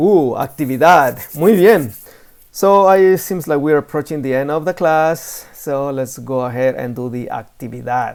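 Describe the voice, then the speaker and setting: Speech comes at a moderate pace. It is delivered with a Spanish accent. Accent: Spanish-speaking. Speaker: Spanish teacher. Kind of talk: lesson. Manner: casual.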